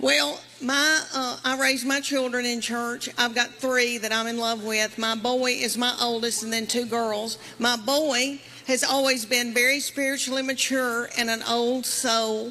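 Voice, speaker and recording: Over noticeable background noise, a woman with a Southern US accent speaks at a fairly slow pace. Her high pitch holds fairly even intonation. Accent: Southern American. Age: 50s. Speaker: stand-up comedian. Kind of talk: stand-up comedy set.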